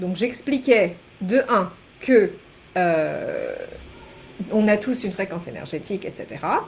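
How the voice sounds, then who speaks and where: The woman speaks with a fairly high pitch. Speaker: energy healer and life coach. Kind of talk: spiritual teaching monologue. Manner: halting, many fillers and repetitions.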